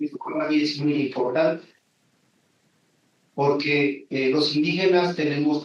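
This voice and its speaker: At a very slow pace with long, frequent pauses, a man with a Michoacán accent speaks in a fairly high pitch. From Mexico, Michoacán (Janitzio island). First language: Purépecha (speaking Spanish). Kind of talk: conference talk.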